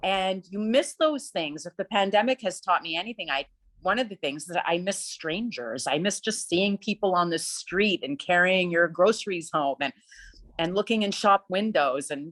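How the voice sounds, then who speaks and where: A woman's plain, everyday voice at a medium pitch, with lively intonation, a moderate pace, and a dry, close sound with no echo. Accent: Canadian. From Ottawa, Canada. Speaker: opera singer. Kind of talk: interview.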